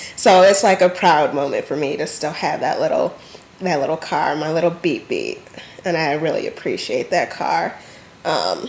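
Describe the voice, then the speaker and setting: A woman with an American accent at a moderate pace, amid noticeable background noise. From Michigan, US. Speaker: vlogger. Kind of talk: casual vlog monologue. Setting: home alone. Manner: hesitant, filler-heavy.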